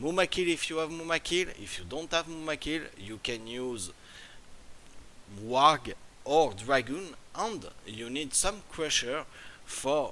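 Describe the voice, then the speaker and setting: A man's fairly high, bright, sharp voice in a French accent, very slow with long, frequent pauses, lively intonation and big swings in loudness. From France. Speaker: gaming YouTuber. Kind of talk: tutorial. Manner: halting.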